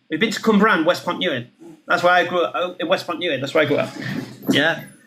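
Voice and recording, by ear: Audible room echo surrounds a man talking at a fast pace. His voice is fairly high and bright, sharp in tone, with ordinary pitch variation.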